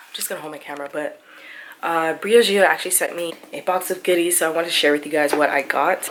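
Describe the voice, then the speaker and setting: Over noticeable background noise, a woman speaks quietly and very fast, her very deep, low voice flat and monotone. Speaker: lifestyle vlogger. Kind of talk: casual vlog. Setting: at home.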